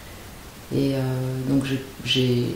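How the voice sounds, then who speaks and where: Noticeable background noise mixed with audible echo from the room. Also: woman. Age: 60s. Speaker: dancer. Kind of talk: interview testimony. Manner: halting.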